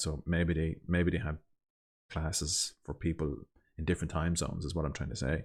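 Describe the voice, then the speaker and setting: In a very clean recording with a silent background, a man with a Dublin accent speaks very fast in a very deep, low voice with monotone, flat intonation. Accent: Irish (Dublin). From Ireland. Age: adult. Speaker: language learner vlogger. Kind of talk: casual monologue. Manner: halting.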